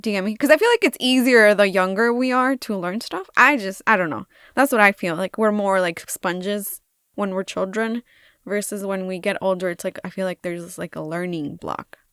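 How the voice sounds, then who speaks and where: A woman's medium-pitched voice at a fairly quick pace with ordinary pitch variation, dry, close sound with no echo, and a very clean recording with a silent background. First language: bilingual Spanish and English. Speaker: craft youtuber. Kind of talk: voiceover tutorial chat. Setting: recorded voiceover. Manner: casual, rambling with fillers. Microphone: new microphone.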